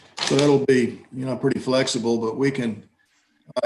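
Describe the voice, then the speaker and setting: A man with an American accent and fairly even intonation, amid audible room echo. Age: 70s. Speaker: judge. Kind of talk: court hearing. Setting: video call. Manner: halting.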